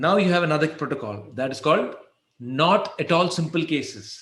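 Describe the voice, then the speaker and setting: Vocal fry at a fairly quick pace, with ordinary pitch variation and audible room echo. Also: man. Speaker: endodontist lecturer. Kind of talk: lecture. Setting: webinar. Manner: fast.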